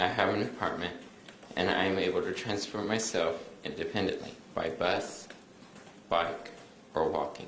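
Moderate-paced speech from a man, broken by long and frequent pauses, with noticeable noise behind it. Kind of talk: formal court statement read aloud. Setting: courtroom.

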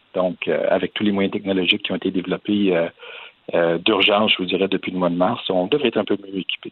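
This man speaks fairly quickly while noticeable background noise carries on behind him. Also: fairly low pitch for a man. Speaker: private school director. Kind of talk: interview. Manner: halting.

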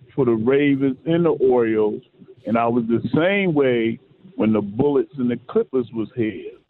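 A man with an American accent and an ordinary speaking voice, medium in pitch, fairly slow, with lively intonation. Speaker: sports radio co-host. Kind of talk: casual sports talk radio. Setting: radio studio.

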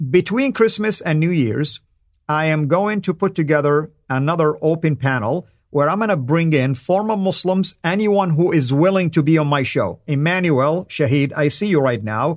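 A man talks at a moderate pace with a fairly high pitch and ordinary pitch variation. His loudness stays very even over a quiet background. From Saudi Arabia. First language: Arabic. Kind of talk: live stream monologue. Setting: live stream. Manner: frequent fillers and hesitations.

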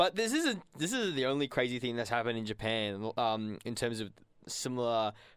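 A man with an Australian accent talks at a fairly quick pace with ordinary pitch variation. The recording is very clean, with a silent background. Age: 20s. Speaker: community radio co-host. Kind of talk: casual chat and interview. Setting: studio. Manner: animated.

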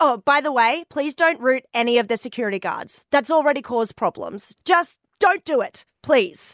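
A woman's high, lively voice in an Australian accent, with hardly any pauses and music in the background. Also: moderate pace, dry, close sound with no echo. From Far North Queensland, Australia. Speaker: station receptionist, co-host. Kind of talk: casual chat.

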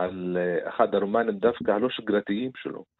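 A man with an Arabic accent, at a fairly slow pace. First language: Arabic (speaking Hebrew). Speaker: writer and Arabic literature commentator. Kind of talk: radio interview. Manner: halting.

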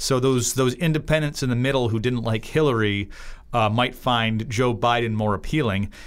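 A man in a normal speaking voice talks at medium pitch and moderate pace with ordinary pitch variation, in a very clean recording with a silent background. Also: very even loudness. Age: 30s. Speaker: political cartoonist. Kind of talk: casual political discussion podcast.

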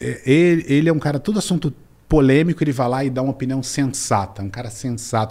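At a fairly quick pace, a man with a medium pitch and a dark, mellow tone speaks with ordinary pitch variation. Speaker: business mentor and angel investor. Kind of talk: interview. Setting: studio, in person.

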